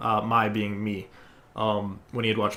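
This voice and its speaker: A man at medium pitch and moderate pace, with audible room echo. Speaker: gaming speedrunner. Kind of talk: tutorial. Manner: loud.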